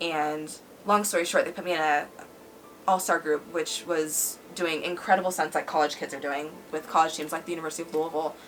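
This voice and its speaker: A woman talks fairly quickly with a fairly low pitch. Her intonation is monotone and flat, and background noise is noticeable. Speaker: former cheerleader sharing her life story. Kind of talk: personal testimony in casual interview.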